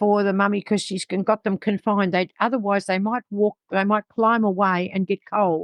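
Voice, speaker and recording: An Australian accent in a dry, close sound with no echo against a quiet background. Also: woman. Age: 70s. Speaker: dog breeder. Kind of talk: interview.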